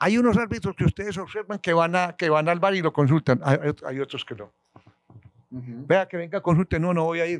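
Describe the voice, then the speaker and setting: In a Colombian accent, a man talks fairly quickly at a high pitch, with ordinary pitch variation, big swings in loudness, and a dry, close sound with no echo. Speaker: retired football referee. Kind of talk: interview answer.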